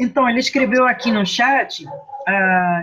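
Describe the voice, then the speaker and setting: Speaking with a non-native accent, a woman talks at a fairly slow pace with a fairly high pitch. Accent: foreign accent in Portuguese. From Guatemala. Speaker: moderator for human rights center. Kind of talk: moderating video discussion. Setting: video call.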